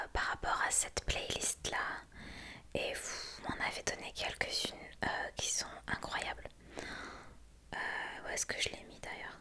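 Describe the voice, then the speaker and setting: Whispering from a woman, very slow, broken by long, frequent pauses, loudness swinging widely, noticeable background noise behind. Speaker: ASMR creator. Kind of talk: ASMR whispered story time. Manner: whispered, soft, relaxing.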